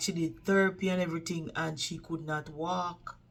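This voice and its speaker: At a fairly slow pace, a woman with a Jamaican accent speaks in a fairly low pitch. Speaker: vlogger, care worker. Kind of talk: casual storytelling vlog. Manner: animated.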